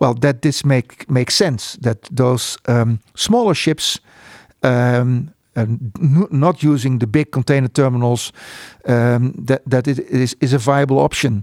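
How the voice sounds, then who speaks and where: A man speaks in a Dutch accent at a fairly slow pace and a medium pitch. His pitch varies ordinarily, and the sound is dry and close with no echo. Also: very even loudness. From Netherlands, Spijkenisse near Rotterdam. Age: 60s. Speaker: port economist. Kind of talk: interview. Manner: halting.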